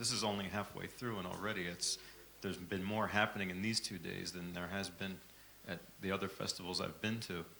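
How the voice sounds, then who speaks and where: In a room with audible echo, a man with an American accent talks at a fairly quick pace in a fairly low pitch, his bright, sharp tone delivered with monotone, flat intonation. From United States. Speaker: microtonal music software developer. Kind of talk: conference remarks. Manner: halting.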